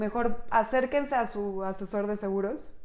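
A woman with a Mexican accent talks at a fairly high pitch. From Mexico. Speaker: insurance agent and podcast host. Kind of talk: casual explanatory chat.

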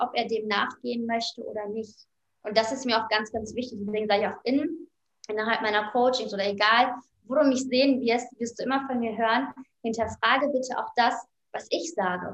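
A woman with a plain, everyday voice, fairly high in pitch, with fairly even intonation at a moderate pace. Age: 30s. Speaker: life coach and author. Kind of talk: interview.

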